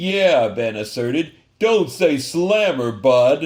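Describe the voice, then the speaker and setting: In a gruff, put-on character voice, a man speaks very slowly at a fairly high pitch with very wide pitch swings. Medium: read story. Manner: sneering, gruff.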